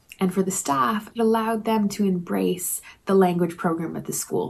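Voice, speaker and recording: A somewhat breathy woman at a moderate pace. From Canada. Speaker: language teacher. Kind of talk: conference presentation. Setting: pre-recorded while traveling. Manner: prepared, measured with fillers.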